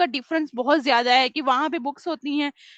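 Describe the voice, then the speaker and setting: A woman speaks in a high voice, recorded dry and close with no echo. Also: quiet background. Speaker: training facilitator at an online school. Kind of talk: interview answer. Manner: soft-spoken.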